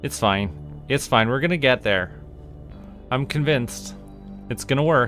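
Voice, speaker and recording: Music plays in the background. The speaker's tone is relaxed. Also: man. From Canada. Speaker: voice actor. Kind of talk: casual gameplay commentary.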